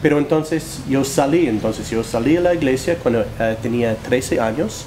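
Noticeable background noise sits under speech that keeps a moderate pace. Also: man. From US Northeast, New Jersey. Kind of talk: interview, personal testimony. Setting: studio. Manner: halting, with fillers and repetitions.

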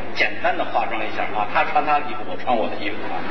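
A man speaks while noticeable noise carries on behind him. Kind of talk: stage introduction to audience. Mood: cheerful, smiling. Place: stage. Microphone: handheld.

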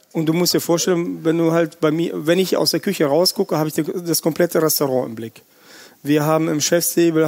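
In a Russian accent, a man talks at a very fast pace. His pitch sits fairly high. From Russia, Siberia, then grew up in Germany. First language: Russian (speaking German). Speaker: chef. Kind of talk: casual interview. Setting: restaurant just before opening. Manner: animated.

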